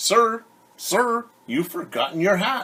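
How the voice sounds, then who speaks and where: This put-on character voice sits fairly high in pitch and unfolds at a fairly slow pace. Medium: read story.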